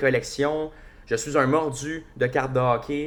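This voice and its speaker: This man has a fairly high pitch. His intonation stays fairly even. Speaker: hockey podcast host. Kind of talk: casual solo podcast commentary. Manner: casual, hesitant with many fillers.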